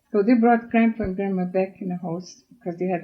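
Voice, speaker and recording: A woman's medium-pitched, somewhat breathy voice keeps a fairly even intonation. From Russia, German colonist village. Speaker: oral history interviewee. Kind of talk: life story interview.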